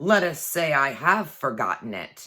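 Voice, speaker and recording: A woman puts on a growling character voice with a very deep, low pitch. She speaks at a moderate pace. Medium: read story. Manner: grave.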